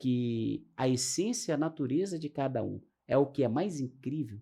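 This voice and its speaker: Against a quiet background, a man talks in a dark, mellow tone. His pitch is fairly high and his intonation lively. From Brazil. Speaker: astrologer and talk show host. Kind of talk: casual interview chat.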